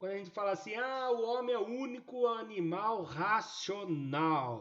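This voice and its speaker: A man's voice is heard. It sits high in pitch. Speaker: math teacher. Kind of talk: live online class. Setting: live online class via app.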